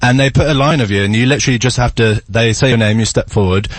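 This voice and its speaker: A man speaks at a medium pitch. His voice is somewhat breathy. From England. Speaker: actor and singer. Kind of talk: casual chat.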